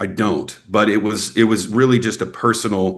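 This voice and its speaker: The speaker has a Texas accent and ordinary pitch variation. The background is quiet. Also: man. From Texas, Snyder. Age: 40s. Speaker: actor and filmmaker. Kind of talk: interview. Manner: casual, filler-heavy.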